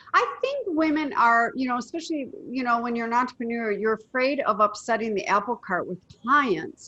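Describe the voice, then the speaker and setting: A woman with a high pitch and a bright, sharp tone talks at a moderate pace, her pitch swinging very widely. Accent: American. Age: 60s. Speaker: women's empowerment coach and media personality. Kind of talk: casual interview chat.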